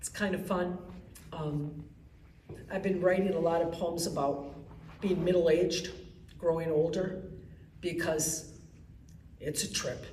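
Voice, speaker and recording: A woman with an American accent, fairly low-pitched and monotone, at a fairly slow pace with long, frequent pauses, amid audible room echo and noticeable background noise. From Wisconsin, Milwaukee. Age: 60s. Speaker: poet. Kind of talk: poetry reading. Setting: library event with audience.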